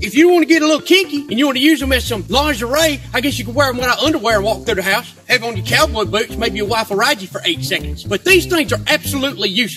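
With a Southern US accent, a man talks at a very fast pace in an animated tone. Clear music plays in the background. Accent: Southern American. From Southern United States. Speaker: comedian. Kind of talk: comedic rant to camera. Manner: animated, indignant. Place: garden. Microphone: camera far.

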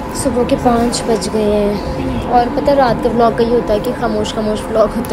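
A woman speaks over loud background noise. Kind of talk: casual vlog chat.

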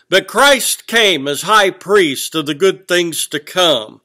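Here a man speaks at a very slow pace. The background is quiet. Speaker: preacher. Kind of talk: sermon. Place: church. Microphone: webcam.

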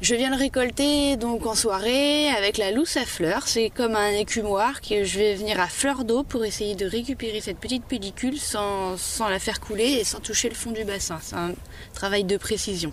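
At a moderate pace, a woman with a fairly high pitch and ordinary pitch variation speaks in a normal speaking voice. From Vendée coast, western France. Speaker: salt farmer. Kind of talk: interview. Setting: outdoors.

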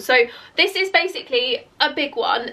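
A woman's bright, sharp tone with lively intonation.

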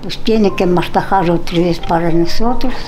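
A woman talks fairly slowly while faint music sounds in the background. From San Bernardino Tlaxcalancingo, Puebla, Mexico. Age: 80s+. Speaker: centenarian interviewee. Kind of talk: interview answer. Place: home room.

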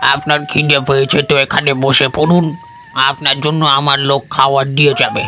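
A man performs a cartoonish character voice at a fairly high pitch. He keeps a moderate pace over clear background noise. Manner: soft, calm, eerie.

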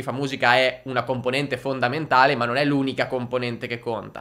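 A man talks at a fairly quick pace with a fairly high pitch. His tone is bright, sharp and animated. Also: quiet background. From northern Italy, Lombardy (Crema); Lombardy, Italy. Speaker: music marketing entrepreneur; music marketing creator. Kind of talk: youtube monologue. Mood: frank, mildly exasperated. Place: studio. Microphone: studio mic.

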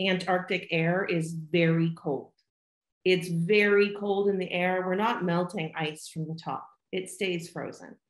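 At a very slow pace, a woman speaks with audible room echo against a quiet background. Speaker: remote interviewee. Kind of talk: interview answer. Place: home room. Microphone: video call.

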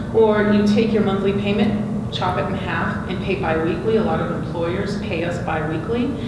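Loud background noise and audible room echo surround a woman talking at a moderate pace. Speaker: student lending executive. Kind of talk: panel discussion. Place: meeting room.

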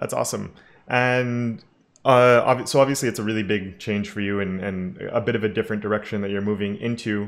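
Fairly quick and fairly even in intonation, a man talks at a fairly low pitch. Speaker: YouTube web development educator, interviewer. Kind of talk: interview on live stream. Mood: friendly, upbeat.

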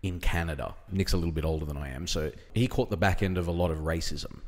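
A man with an Australian accent, very deep low pitch, fairly quick delivery. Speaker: podcast host. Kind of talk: casual chat. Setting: distillery.

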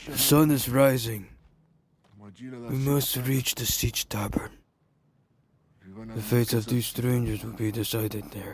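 A man speaks fairly slowly in a medium pitch. He leaves long, frequent pauses. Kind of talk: amateur fan dub of film subtitles. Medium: fan dub. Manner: solemn, formal, measured.

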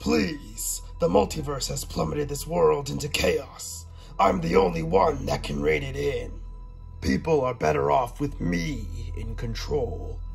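Putting on a character voice, a man speaks at a fairly slow pace over clear music in the background. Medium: audio drama. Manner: calm, menacing.

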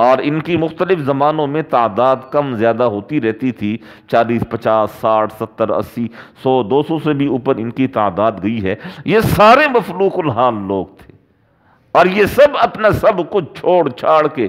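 A man talks very slowly. His pitch swings very widely. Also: quiet background. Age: 40s. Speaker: Islamic preacher. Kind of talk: sermon. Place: home room. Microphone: headset.

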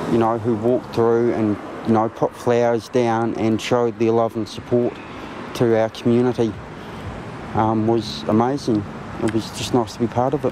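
A man speaks at a moderate pace in a flat monotone, with long, frequent pauses. The sound is dry with no echo, though background noise is noticeable. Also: very even loudness. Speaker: witness. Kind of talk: interview answer. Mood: subdued, reflective. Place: garden.

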